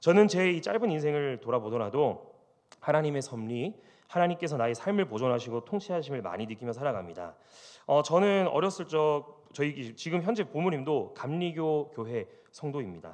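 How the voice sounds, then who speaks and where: Over a quiet background, a man talks at a moderate pace in a fairly high pitch with very wide pitch swings. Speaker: pastor. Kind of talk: sermon.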